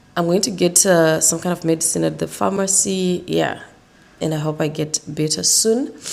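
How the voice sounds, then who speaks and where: Speaking at a moderate pace, a woman uses a fairly low pitch with vocal fry. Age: 30s. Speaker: vlogger. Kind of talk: casual vlog talk.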